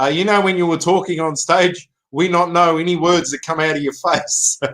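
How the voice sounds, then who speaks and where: This man's voice is fairly high in pitch, with a bright, sharp tone. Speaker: live streamer and musician. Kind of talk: casual chat. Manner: fast.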